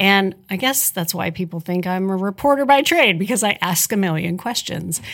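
With an American accent, a woman has a plain, everyday voice at medium pitch, speaking at a moderate pace with lively intonation. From southern Indiana (tri-state area). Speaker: nonprofit executive, former TV news personality. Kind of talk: interview.

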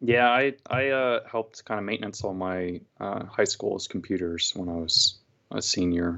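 A man with an American accent and a normal speaking voice, fairly low in pitch with ordinary variation, at a moderate pace. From California. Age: 30s. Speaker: mechanical engineer. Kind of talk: casual interview. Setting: home living room recording.

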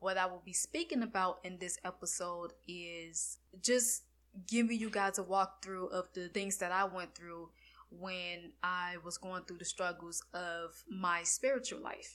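A woman's bright, sharp voice with an American accent, fairly even intonation and big swings in loudness, on a very clean recording with a silent background. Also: medium pitch for a woman, fairly slow pace. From Florida. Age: 20s. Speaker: religious podcast host. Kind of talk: personal testimony monologue.

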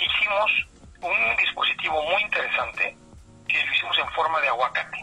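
The delivery comes at a moderate pace. Noticeable background noise is present. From Mexico City. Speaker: tech company director. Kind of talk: interview. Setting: phone call.

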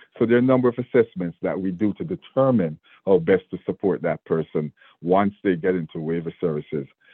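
This man speaks with a Jamaican accent at a fairly quick pace. His pitch is very deep and low, and his intonation is lively. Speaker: state government official. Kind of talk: interview.

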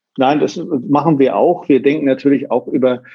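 A man talks in a normal speaking voice at medium pitch. His intonation stays fairly even. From northern Germany (Sylt). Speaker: hotelier and hospitality association president. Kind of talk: interview.

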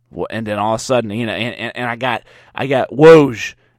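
In a Southern US accent, a man speaks in an animated tone with lively intonation on a very clean recording with a silent background. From US South. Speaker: podcast host. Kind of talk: casual solo monologue. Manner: stammering, repeats words.

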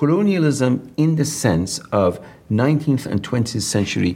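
A man with an Iranian accent speaks at a fairly slow pace, his medium pitch moving in very wide swings. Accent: Iranian (Persian) English. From southern Iran. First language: Persian. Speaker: professor of comparative literature. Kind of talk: interview conversation.

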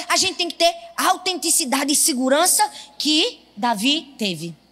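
A woman's high-pitched, raised and projected voice in a northeastern Brazilian accent, fairly slow, animated in tone, with very wide pitch swings and noticeable background noise. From Northeast Brazil. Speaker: pastor. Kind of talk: sermon.

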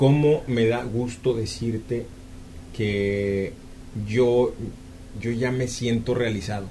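Speaking very slowly with long, frequent pauses, the voice has a dark, mellow, somewhat breathy tone and fairly even intonation, with audible room echo. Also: man. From Mexico, Jalisco (Ameca). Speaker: radio announcer and singer. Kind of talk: interview. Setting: studio.

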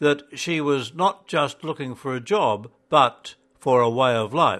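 In a quiet background, a man talks with a plain, everyday voice, fairly high in pitch and at a fairly slow pace. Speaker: narrator. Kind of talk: audiobook-style narration of a magazine editorial. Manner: formal, measured, even-paced reading; solemn, earnest and steady.

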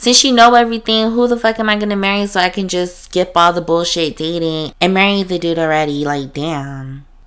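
A woman's fairly low, animated voice with lively intonation, on a very clean recording against a silent background. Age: 20s. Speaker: podcast host. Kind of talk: casual solo monologue.

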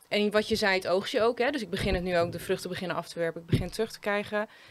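This woman has a normal speaking voice, medium in pitch, with fairly even intonation. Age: 30s. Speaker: leadership coach. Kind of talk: casual chat. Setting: living room.

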